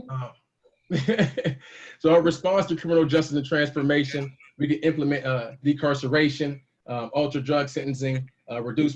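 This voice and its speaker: Somewhat breathy and fairly high in pitch, a man speaks with fairly even intonation and long, frequent pauses. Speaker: panelist presenter. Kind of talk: slide presentation. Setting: video call. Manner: fast.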